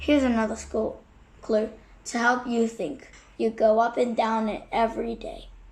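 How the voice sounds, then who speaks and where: In a put-on character voice, a woman talks at a moderate pace with a raspy sound, a fairly high pitch and fairly even intonation. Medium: read story. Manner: warm, teasing.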